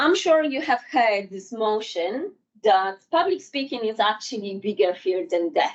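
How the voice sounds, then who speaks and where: A woman's fairly high voice with a non-native accent, very wide pitch swings and a fairly slow pace. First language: not English. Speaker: public speaking trainer. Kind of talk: workshop presentation. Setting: in-person workshop with live audience. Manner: halting.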